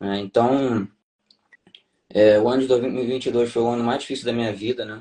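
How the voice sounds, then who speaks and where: Speaking with a Rio de Janeiro accent, a man talks in a dark, mellow tone at medium pitch. His intonation is monotone and flat, broken by long, frequent pauses. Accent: Rio de Janeiro Brazilian Portuguese (carioca). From Brazil, Rio de Janeiro. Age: 30s. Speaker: tax auditor, former navy officer. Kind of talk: interview testimony. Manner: halting, many fillers.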